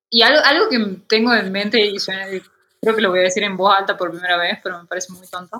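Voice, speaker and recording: A woman with a medium-pitched voice talks at a very fast pace with ordinary pitch variation. Her loudness swings widely. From Argentina, Tucumán. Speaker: illustrator and painter. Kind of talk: interview conversation.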